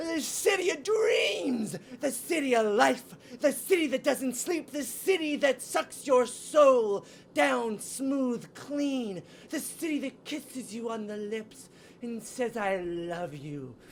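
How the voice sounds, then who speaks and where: A female-sounding, put-on character voice at fairly high pitch uses a theatrical tone and a fairly slow pace. Clear background noise runs behind it. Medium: comedy sketch. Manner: grandiose, theatrical.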